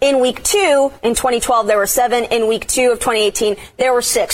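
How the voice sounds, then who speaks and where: Her voice high in pitch, a woman speaks with an American accent and ordinary pitch variation. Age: 20s. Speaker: TV sports reporter. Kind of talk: casual sports chat.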